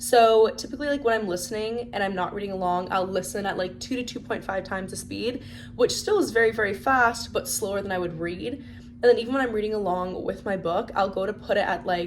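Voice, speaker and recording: Amid noticeable background noise, a woman of medium pitch talks at a fairly quick pace in an animated tone, with ordinary pitch variation and hardly any pauses. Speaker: book vlogger. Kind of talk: casual chat. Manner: fast.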